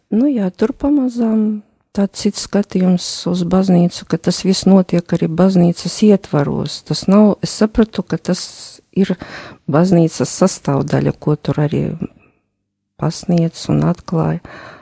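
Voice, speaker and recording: A woman speaks at a medium pitch with ordinary pitch variation, her somewhat breathy voice dark and mellow in a dry, close sound with no echo. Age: 50s. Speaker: accountant and retreat participant. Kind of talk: personal testimony in interview. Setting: radio studio.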